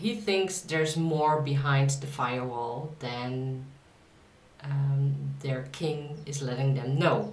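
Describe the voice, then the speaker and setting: A woman's very deep, low voice, very slow, with audible room echo and noticeable background noise. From Netherlands. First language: Dutch. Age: 30s. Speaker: author. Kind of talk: casual vlog talk. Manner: halting, many fillers.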